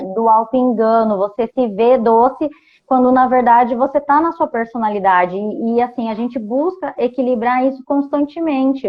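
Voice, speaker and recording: Moderately paced talk from a woman, high in pitch, with ordinary pitch variation. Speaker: enneagram coach. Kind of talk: casual chat. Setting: video call.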